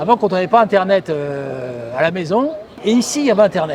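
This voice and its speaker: A high-pitched man over noticeable background noise. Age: 70s. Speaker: retired psychiatrist and novelist. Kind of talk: casual guided walk talk to camera. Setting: outdoors.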